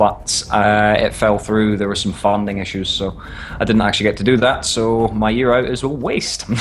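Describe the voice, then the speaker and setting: A man with a fairly low pitch speaks at a moderate pace and with fairly level intonation, while noticeable noise sounds behind him. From northern Scotland. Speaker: amateur esports caster. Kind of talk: interview.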